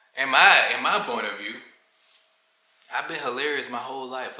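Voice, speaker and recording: Noticeable background noise and audible echo from the room surround a man talking at a medium tempo. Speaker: vlogger. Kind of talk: casual vlog monologue. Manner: monotone; mellow.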